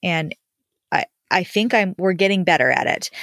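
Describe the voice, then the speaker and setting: A woman talks in an ordinary speaking voice with fairly even intonation. The recording is very clean, with a silent background and a dry, close sound with no echo. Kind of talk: casual chat.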